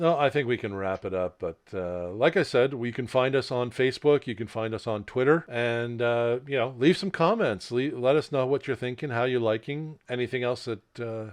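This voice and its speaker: An ordinary speaking voice at a moderate pace, with ordinary pitch variation and hardly any pauses. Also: man, medium pitch for a man. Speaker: podcast co-host. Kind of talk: casual chat.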